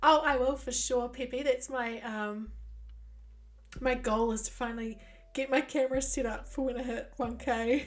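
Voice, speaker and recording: At a moderate pace, a woman with a New Zealand accent speaks in a high pitch with a monotone, flat intonation. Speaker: gaming streamer. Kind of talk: casual chat.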